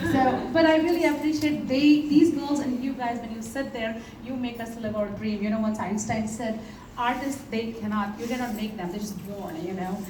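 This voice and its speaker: A woman with an Indian accent speaks at a moderate pace and a fairly high pitch with ordinary pitch variation, with audible room echo and noticeable background noise. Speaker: Indian dance teacher. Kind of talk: audience Q&A after performance.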